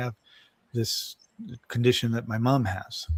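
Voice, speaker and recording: At a fairly quick pace, this is a normal speaking voice. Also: man. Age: 60s. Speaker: wellness podcast host. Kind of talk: casual chat.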